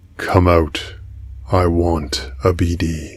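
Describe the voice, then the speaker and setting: The voice is a cartoonish character voice. It sounds raspy. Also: man, very deep, low pitch for a man. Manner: menacing.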